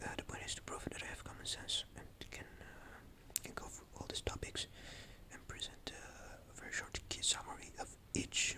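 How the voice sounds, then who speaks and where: A man's whisper moves at a moderate pace, with noticeable background noise behind it. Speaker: vlogger. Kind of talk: casual monologue. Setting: at home at night. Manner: halting.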